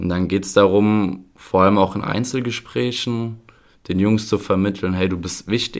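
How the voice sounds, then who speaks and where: In an ordinary speaking voice, a man talks at a moderate pace with fairly low pitch and fairly even intonation. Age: 20s. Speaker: youth football coach. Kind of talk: podcast interview.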